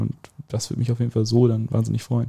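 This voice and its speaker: Flat and monotone, a man speaks at a medium pitch in a somewhat breathy voice with a dark, mellow tone. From Westphalia, Germany (Soest district village). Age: 18. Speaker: student representative. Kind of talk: casual chat.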